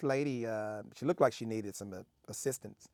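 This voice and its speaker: Pitched in the medium range with ordinary variation, the man's voice comes through on a very clean recording against a silent background. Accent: Southern US. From Memphis, Tennessee. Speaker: Navy veteran, former cook. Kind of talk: interview answer.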